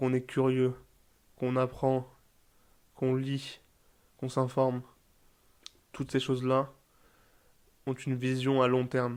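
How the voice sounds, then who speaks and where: Speaking at a fairly slow pace with long, frequent pauses, a man keeps a monotone, flat intonation. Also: medium pitch for a man. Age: 20s. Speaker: podcaster. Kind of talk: personal advice monologue. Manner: halting, searches for words.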